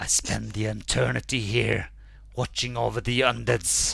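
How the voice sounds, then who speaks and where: A man puts on a raspy character voice. He keeps a moderate pace. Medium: actual play. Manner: solemn, menacing, formal.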